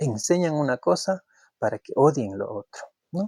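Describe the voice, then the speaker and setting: A man with an Ecuadorian accent at a fairly slow pace, with a dry, close sound and no echo. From Ecuador, Kichwa community. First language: Kichwa (speaking Spanish). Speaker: YouTube commentator. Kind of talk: opinion monologue. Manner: halting, with repetitions.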